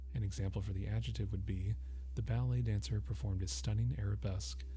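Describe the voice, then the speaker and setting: With music in the background, a man's pitch swings very widely. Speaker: ASMR dictionary reader.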